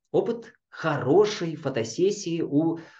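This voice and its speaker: The voice has a calm tone that is dark and mellow. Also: man. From Kazakhstan and Chukotka, Russian Far North. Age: 50s. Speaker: yoga teacher. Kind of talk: interview.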